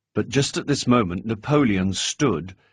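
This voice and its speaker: A medium-pitched man with an unremarkable speaking voice, lively intonation and a moderate pace, against a quiet background. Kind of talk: audiobook narration.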